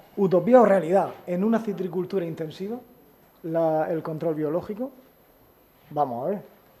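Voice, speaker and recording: With long, frequent pauses, a man talks at a moderate pace in a high pitch with a dark, mellow tone. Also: ordinary pitch variation. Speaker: agricultural engineer. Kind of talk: conference talk. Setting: auditorium with audience. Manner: halting, repetitive. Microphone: too quiet, has to move closer to mic.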